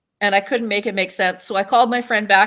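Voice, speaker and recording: A woman talks with a western Canadian accent and ordinary pitch variation. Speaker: town mayor and political candidate. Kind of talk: interview. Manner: loud; casual, with frequent fillers.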